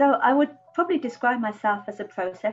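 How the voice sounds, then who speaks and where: Over music in the background, a woman with an English accent speaks with ordinary pitch variation. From England. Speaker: artist. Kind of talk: interview monologue. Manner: hesitant, many fillers.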